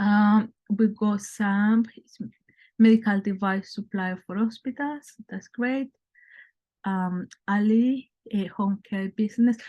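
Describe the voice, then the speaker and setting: Speaking at a very slow pace with a non-native accent, a woman has a fairly high pitch, fairly even intonation, a dark, mellow, somewhat breathy tone and big swings in loudness, in a dry, close sound with no echo against a quiet background. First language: not English. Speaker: brand consultant. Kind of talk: webinar presentation. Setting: online webinar.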